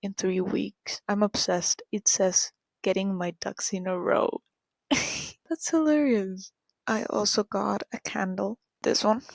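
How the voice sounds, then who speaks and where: A woman with a Spanish accent speaks at a medium pitch and a fairly slow pace. The recording is very clean, with a silent background and a dry, close sound with no echo. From Argentina. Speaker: vlogger. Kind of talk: casual vlog talk. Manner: whispering.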